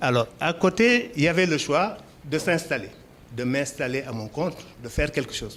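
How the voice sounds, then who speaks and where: Moderately paced speech from a man, pitch varying in an ordinary way. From Senegal, Dakar. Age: 60s. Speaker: entrepreneur, poultry farmer. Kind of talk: interview. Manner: hesitant fillers (euh).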